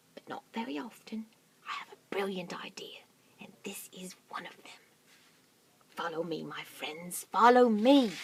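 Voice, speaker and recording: A female-sounding voice puts on a character voice at medium pitch, moving at a moderate pace with long, frequent pauses. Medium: read story.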